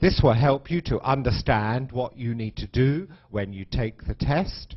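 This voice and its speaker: A man's somewhat breathy, medium-pitched voice, lively in intonation and fairly slow in pace. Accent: British. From UK. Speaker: English teacher. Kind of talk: lecture. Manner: slow, clear for learners.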